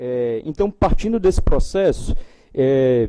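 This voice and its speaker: A man's dark, mellow voice with lively intonation. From Brazil, Ceará. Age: young. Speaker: institute director, panel speaker. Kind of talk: panel talk. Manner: hesitant, many fillers.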